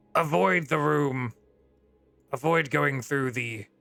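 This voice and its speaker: A man speaks in a put-on character voice that is raspy and medium in pitch, at a fairly slow pace. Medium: actual play. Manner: dry, aloof, condescending.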